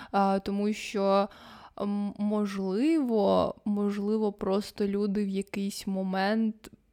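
A woman speaks at a medium pitch in a dark, mellow tone with very even loudness. Her pace is very slow and her intonation monotone and flat. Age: 20s. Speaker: podcast co-host. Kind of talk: casual chat.

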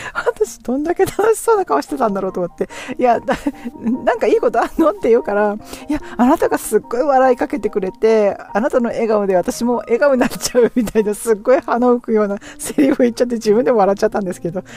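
The speech moves at a very fast pace with noticeable background noise behind it. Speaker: podcaster sharing English learning diary. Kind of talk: casual solo monologue. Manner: many fillers and hesitations; frequent laughter.

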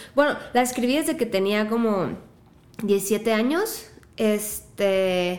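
A woman's fairly high voice at a very slow pace, with ordinary pitch variation and audible room echo. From Mexico, La Piedad, Michoacán. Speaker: singer-songwriter. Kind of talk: casual chat.

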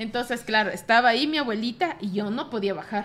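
Here a woman talks at a fairly quick pace in a fairly high voice, an ordinary speaking voice with ordinary pitch variation. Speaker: bookstore co-host. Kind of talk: casual chat. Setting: bookstore studio.

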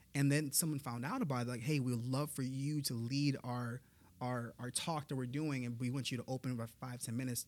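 Here a man speaks at a medium pitch. His pace is fairly quick. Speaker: motivational speaker. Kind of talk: casual interview chat. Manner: enthusiastic.

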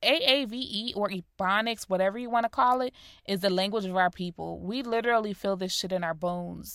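A woman with an American accent talks at a fairly quick pace and medium pitch. Her pitch variation is ordinary, and the recording is very clean with a silent background. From US Northeast (Rochester, New York), later South Florida. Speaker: podcast host. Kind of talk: solo podcast monologue. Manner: clear.

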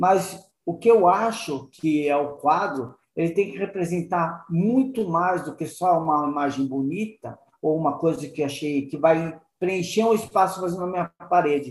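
A man with a high voice talks at a fairly slow pace, with ordinary pitch variation. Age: 50s. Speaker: online art print shop owner. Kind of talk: interview. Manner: halting, with repeated words.

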